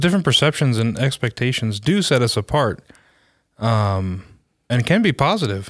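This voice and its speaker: A man speaks at a moderate pace with a medium pitch. The recording is very clean, with a silent background. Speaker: podcast host. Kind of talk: casual conversational podcast discussion. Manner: hesitant, many fillers and restarts.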